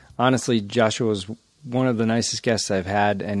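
This man's voice sits at a medium pitch, and he talks at a fairly quick pace. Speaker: podcast host. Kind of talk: casual interview chat. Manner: joking, animated.

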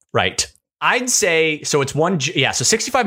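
With an American accent, a man speaks in a bright, sharp tone with vocal fry and a fairly high pitch. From US West, Lake Tahoe. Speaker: podcast co-host. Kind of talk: casual chat.

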